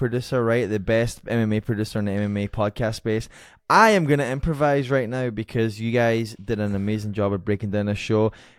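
Here is a man in a normal speaking voice, talking at a fairly quick pace with fairly even intonation. The recording is very clean with a silent background. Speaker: podcast producer. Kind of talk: casual production remarks. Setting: studio, filmed on camera.

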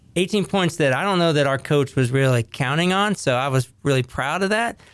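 A man with an American accent speaks at a moderate pace in an ordinary speaking voice, with ordinary pitch variation, on a very clean recording with a silent background. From US, Ohio Valley, northern West Virginia. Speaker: podcast host. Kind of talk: casual interview.

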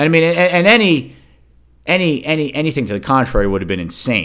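On a very clean recording with a silent background, a man of medium pitch shows vocal fry and very wide pitch swings. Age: 50s. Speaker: sports podcast host. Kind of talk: casual solo sports commentary. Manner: animated.

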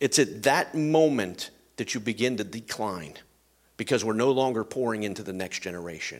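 With a plain, everyday voice, a man speaks at a moderate pace and with lively intonation over a very clean recording with a silent background. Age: 50s. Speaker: pastor. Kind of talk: sermon.

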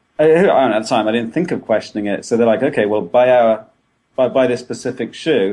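A man with an English accent talks at a fairly quick pace. His pitch is medium, with ordinary variation. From England. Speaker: running blogger. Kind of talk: casual interview. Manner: halting.

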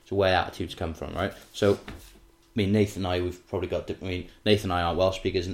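Low-pitched male voice at a fast pace, with fairly even intonation.

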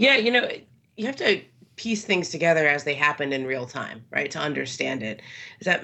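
Vocal fry runs through this woman's speech, delivered with an American accent. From Los Angeles, California. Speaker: sports journalist. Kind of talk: casual interview. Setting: remote from Southern California.

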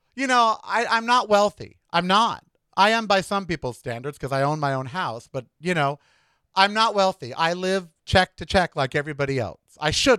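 A man speaks in an American accent with a bright, sharp tone. His pitch is high and swings very widely. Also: moderate pace. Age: 60s. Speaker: podcast host and former radio host. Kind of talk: solo podcast monologue. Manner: animated.

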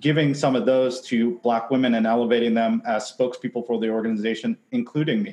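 A man with an American accent speaks at medium pitch and a fairly quick pace. He has an ordinary speaking voice and fairly even intonation. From Seattle, US. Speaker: advertising industry organizer. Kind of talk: heated debate.

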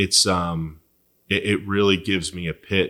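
In a very clean recording with a silent background, a man with an American accent speaks in a monotone, flat intonation and a bright, sharp tone. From Philadelphia, US. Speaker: insurance agent. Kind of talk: interview.

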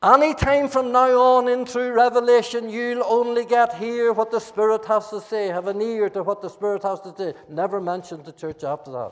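Against noticeable background noise, a man with a Northern Irish accent talks at a moderate pace with hardly any pauses, his high pitch showing ordinary variation and his loudness swinging widely. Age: 70s. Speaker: pastor. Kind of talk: sermon. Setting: church. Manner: animated.

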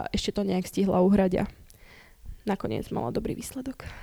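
Speaking at a very fast pace, a woman with a medium pitch and a dark, mellow tone is heard on a very clean recording with a silent background and a dry, close sound with no echo. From Slovakia, Bratislava. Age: 20s. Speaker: Olympic gymnast. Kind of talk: casual interview.

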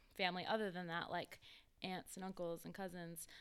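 This woman has an unremarkable speaking voice and an American accent. Her pitch is medium and her pace is moderate. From South Carolina. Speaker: small business owner. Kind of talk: casual chat. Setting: studio.

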